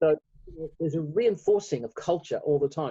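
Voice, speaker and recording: A man with an Australian accent talks fairly quickly in a fairly high pitch, his tone dark, mellow and somewhat breathy, the sound dry and close with no echo. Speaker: lead pastor. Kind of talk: casual chat.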